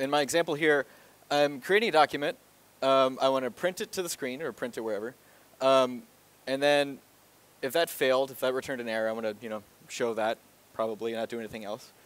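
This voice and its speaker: The sound is dry with no echo as a man talks at a very fast pace. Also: ordinary pitch variation. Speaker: presenter. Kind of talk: lecture. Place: hall. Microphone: headset.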